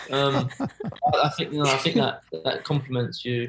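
Somewhat breathy, a man speaks at a moderate pace. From Oxford, England. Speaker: professional footballer. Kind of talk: casual chat. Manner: laid-back.

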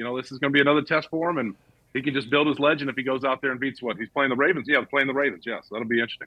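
A very fast man with an American accent, fairly high in pitch, with ordinary pitch variation. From US South, Georgia (Marietta). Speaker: former NFL player and sports broadcaster. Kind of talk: casual chat.

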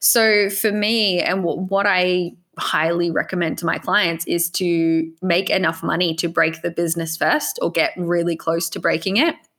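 In an Australian accent, a woman with a fairly low pitch talks at a moderate pace with fairly even intonation and hardly any pauses. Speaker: e-commerce business coach. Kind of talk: casual interview chat.

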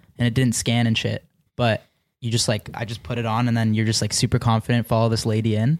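Speaking very fast in an Ontario accent, a man of medium pitch is heard in a very clean recording with a silent background and a dry, close sound with no echo. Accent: Canadian (Ontario). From Canada, Mississauga near Toronto. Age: 20s. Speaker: YouTube prankster. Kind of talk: casual chat. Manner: animated.

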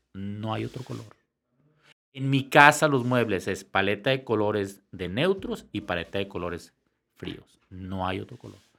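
Speaking at a fairly slow pace, a man with a fairly low pitch and a bright, sharp tone shows big swings in loudness and ordinary pitch variation. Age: 50s. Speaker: entrepreneur and lighting designer. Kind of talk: casual interview chat.

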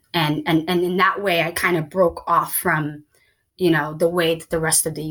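With a Midwestern accent, a woman speaks in a fairly low pitch with a bright, sharp tone. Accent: American Midwest. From Somalia, raised in Columbus, Ohio (US Midwest). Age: 30s. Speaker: writer and diversity consultant. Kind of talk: interview conversation. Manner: hesitant, many fillers.

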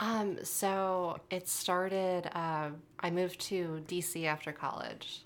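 Delivery is very slow in an American accent. The intonation stays monotone and flat. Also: woman, fairly low pitch for a woman. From western Massachusetts. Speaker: food writer and dining editor. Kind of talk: interview. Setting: studio.

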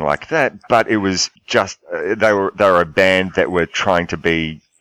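A man with an Australian accent and a very deep, low pitch, dry and close with no echo. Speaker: podcast host. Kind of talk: casual chat. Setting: Skype call.

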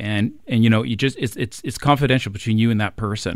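With an ordinary speaking voice, a man talks at a medium pitch and a fairly quick pace, using fairly even intonation. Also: very clean recording, silent background. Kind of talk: casual panel chat. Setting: studio.

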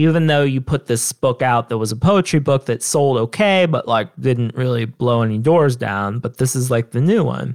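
With a Southern Ohio accent, the speaker talks at a moderate pace with ordinary pitch variation on a very clean recording with a silent background and a dry, close sound with no echo. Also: man. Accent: Southern Ohio twang. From Southern Ohio, US. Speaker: author. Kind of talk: interview conversation.

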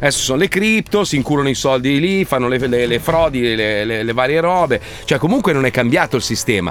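With music in the background, a man speaks at a fairly quick pace with lively intonation and very even loudness. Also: medium pitch for a man. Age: 50s. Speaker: radio host. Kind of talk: casual chat. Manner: animated.

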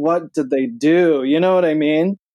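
In an American accent, a man speaks with a dark, mellow tone, the sound dry and close with no echo. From Michigan. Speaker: vegan cookbook author and show host. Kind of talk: casual interview chat. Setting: remote call from home office.

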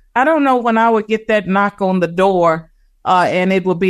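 A plain, everyday voice carries ordinary pitch variation. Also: woman, quiet background. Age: 60s. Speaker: political scientist. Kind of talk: interview.

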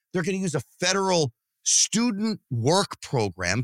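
Lively intonation and an animated tone mark this man's high-pitched voice, delivered at a fairly slow pace. The recording is very clean, with a silent background and a dry, close sound with no echo. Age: 50s. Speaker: political commentator, podcast host. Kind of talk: casual chat.

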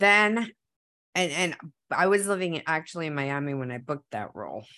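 A woman's voice with lively intonation at a moderate pace, on a very clean recording with a silent background. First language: Spanish. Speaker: actor. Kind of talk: interview. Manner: animated; halting.

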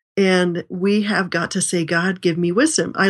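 A plain, everyday voice from a woman, fairly low in pitch, with fairly even intonation and a fairly slow pace, against a quiet background. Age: 60s. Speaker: author and speaker on family life. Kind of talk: interview.

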